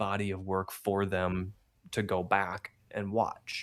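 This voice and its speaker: A man with a Midwestern US accent on a very clean recording with a silent background. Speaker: streamer. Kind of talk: interview.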